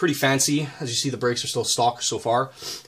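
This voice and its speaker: Fairly even intonation in a somewhat breathy male voice. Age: 20s. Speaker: auto mechanic and welder. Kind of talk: casual walkthrough of a car build. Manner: casual, with frequent fillers.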